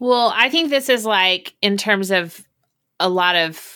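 At a fairly slow pace, a woman in an American accent speaks with a bright, sharp tone and ordinary pitch variation. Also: very clean recording, silent background. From Oklahoma. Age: 40s. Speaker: singer-songwriter. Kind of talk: casual interview chat.

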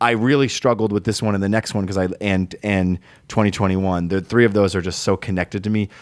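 A man with an American accent and fairly low pitch talks at a fairly quick pace. The sound is dry and close with no echo, in a very clean recording with a silent background. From Rhode Island, US. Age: 30s. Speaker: musician. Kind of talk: casual chat.

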